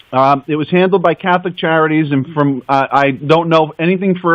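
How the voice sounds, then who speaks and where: In an American accent, a man talks at a fairly quick pace. His voice is fairly high, with ordinary pitch variation. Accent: New York, comes out sometimes. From New York, Brooklyn. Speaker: adoptee. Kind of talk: radio interview.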